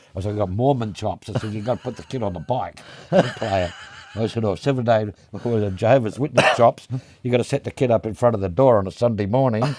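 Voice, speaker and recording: A medium-pitched man with an Australian accent at a very fast pace, amid noticeable background noise. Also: ordinary pitch variation. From Western Australia, Perth. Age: 70s. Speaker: drum maker and drummer. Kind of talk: casual interview chat.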